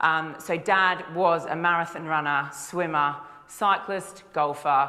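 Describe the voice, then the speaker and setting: With an Australian accent and ordinary pitch variation, the voice carries audible room echo. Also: woman. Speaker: nutritionist. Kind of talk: conference talk. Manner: casual, with frequent fillers.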